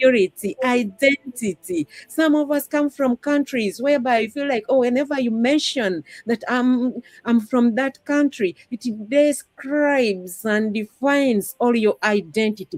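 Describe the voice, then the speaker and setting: With a Ugandan accent, a woman speaks at a high pitch and a fairly slow pace. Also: ordinary pitch variation, dry, close sound with no echo. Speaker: discussion panelist. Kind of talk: live-stream panel discussion.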